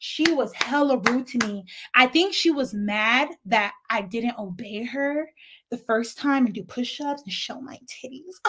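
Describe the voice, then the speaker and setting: With a slight African accent, a woman speaks at a fairly slow pace in a high pitch, her tone animated, bright and sharp. Her pitch variation is ordinary, while her loudness swings widely. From lived in Africa, now US. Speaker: YouTube commentator. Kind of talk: casual storytime vlog.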